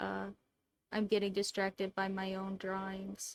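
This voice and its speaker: Quiet speech with a dry, close sound and no echo. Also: woman. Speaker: artist streamer. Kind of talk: casual drawing stream commentary.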